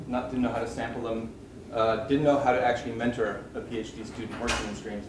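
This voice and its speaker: The man talks at a fairly quick pace, with audible room echo and noticeable background noise in the recording. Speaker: PhD advisor professor. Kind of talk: introduction speech. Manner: hesitant, repeating words. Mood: warm, humorous. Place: classroom. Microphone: camera far.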